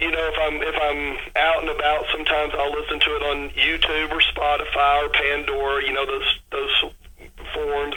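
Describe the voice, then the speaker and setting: A man with a Texas accent and a fairly high pitch at a moderate pace, with audible room echo and noticeable background noise. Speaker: rock musician. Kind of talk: radio interview.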